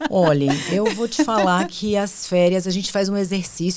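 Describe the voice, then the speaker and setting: A woman with a strong Bahian accent speaks over noticeable background noise. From Bahia, Brazil (Ilhéus, southern Bahia). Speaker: HR executive and psychologist. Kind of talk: podcast interview.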